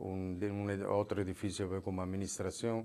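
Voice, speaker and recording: A man with a fairly low pitch at a fairly slow pace. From Italy. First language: Italian (speaking Spanish). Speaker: former prisoner; interview guest. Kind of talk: testimony. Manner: halting. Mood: calm, serious storytelling. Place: studio. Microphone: lapel.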